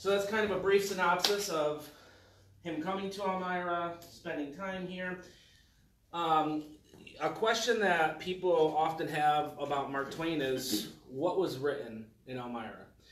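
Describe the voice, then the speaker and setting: A man with a high pitch and ordinary pitch variation speaks at a fairly slow pace, with light background noise and audible room echo. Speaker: speaker. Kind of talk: lecture. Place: meeting room. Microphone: camera far.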